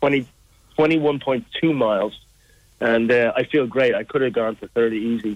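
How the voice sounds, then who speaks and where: This man speaks at a medium pitch with an Irish accent. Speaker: charity walker. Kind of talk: interview. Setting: phone call.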